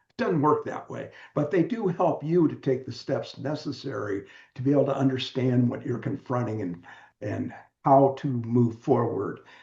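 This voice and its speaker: With a General American accent, a man speaks at a moderate pace in a dark, mellow, medium-pitched voice with vocal fry, ordinary pitch variation and big swings in loudness. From US West Coast, San Diego. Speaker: author and widower support mentor. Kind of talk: interview conversation.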